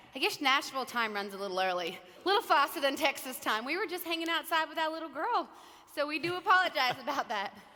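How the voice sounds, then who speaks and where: A woman speaks in a raised, projected voice at a high pitch and a very fast pace, with very wide pitch swings. Noticeable background noise is audible. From Australia. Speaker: country singer. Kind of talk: keynote speech, casual storytelling.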